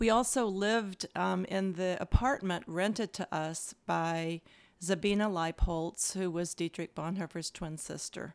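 An unremarkable speaking voice from a woman with an American accent, fairly low in pitch, fairly slow, with ordinary pitch variation and a dry, close sound with no echo on a very clean recording with a silent background. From US South, Louisville, Kentucky. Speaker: seminary president and minister. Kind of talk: interview conversation.

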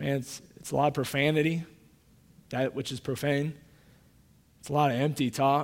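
A man with a Midwestern American accent and fairly high pitch speaks at a moderate pace in a monotone, flat intonation, with big swings in loudness. Long, frequent pauses mark the very clean recording, which has a silent background. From Kansas City, Missouri. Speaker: pastor. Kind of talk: sermon. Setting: church.

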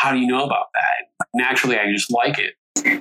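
A man speaks at medium pitch with a bright, sharp tone and fairly even intonation. The sound is dry and close, with no echo.

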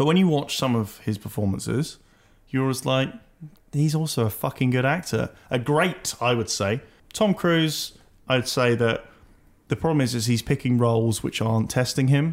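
A man with a British accent keeps a very even loudness, talking at a moderate pace with medium pitch and ordinary pitch variation. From Britain. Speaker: podcast host. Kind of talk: casual chat.

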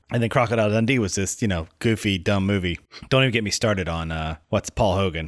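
A man speaks in a normal speaking voice, fairly low in pitch with ordinary pitch variation. The recording is very clean, with a silent background. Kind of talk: casual podcast banter. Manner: jokey, quick-witted, interjecting.

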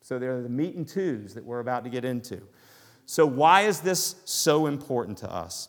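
On a very clean recording with a silent background, a man in a Southern US accent speaks at a medium pitch and moderate pace, with lively intonation and big swings in loudness. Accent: Southern US, noticeable. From US South. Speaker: pastor. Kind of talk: sermon. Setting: church.

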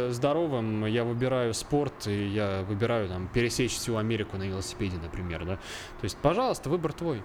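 A man's voice swings very widely in pitch, with audible room echo around it. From central Russia, Obninsk (Kaluga region). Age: 20s. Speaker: videographer. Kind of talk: casual chat. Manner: halting.

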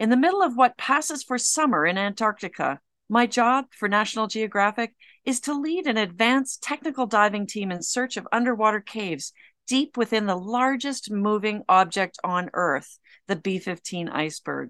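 Using a normal speaking voice, a woman talks with lively intonation at a fairly high pitch and a moderate pace. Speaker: cave diver and author. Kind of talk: dramatic first-person narration reading her own memoir. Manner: intense, gripping, suspenseful, measured.

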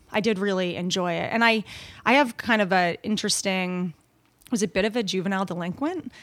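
A woman with an American accent and an unremarkable speaking voice talks fairly quickly at a medium pitch with ordinary pitch variation. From Long Island, New York. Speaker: rowing coach. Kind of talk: casual interview.

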